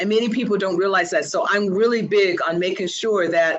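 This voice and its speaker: The speaker has an unremarkable speaking voice and a fairly quick pace. Pitch variation is ordinary. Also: woman. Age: 60s. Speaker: English language teacher trainer. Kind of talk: webinar presentation. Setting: live webinar broadcast.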